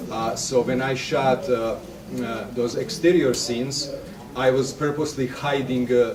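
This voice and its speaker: Amid noticeable background noise and audible room echo, a man with a European accent speaks at a moderate pace. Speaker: filmmaker. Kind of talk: workshop talk. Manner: halting, many fillers.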